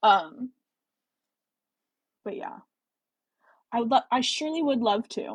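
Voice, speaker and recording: With an American accent, a woman speaks at a high pitch with very wide pitch swings and big swings in loudness, at a fairly slow pace with long, frequent pauses, in a dry, close sound with no echo. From US Midwest. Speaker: book reading livestreamer. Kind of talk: casual chat during live book reading. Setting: livestream.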